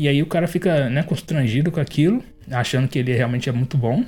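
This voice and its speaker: A man at a very fast pace and medium pitch with ordinary pitch variation, music in the background. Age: 20s. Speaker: podcast host reviewing manga. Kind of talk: solo review monologue. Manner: casual, hesitant with fillers.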